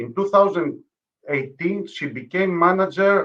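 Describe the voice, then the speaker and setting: Speaking at a moderate pace, a man with a Greek accent has a high pitch. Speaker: conference moderator. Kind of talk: speaker introduction. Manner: formal.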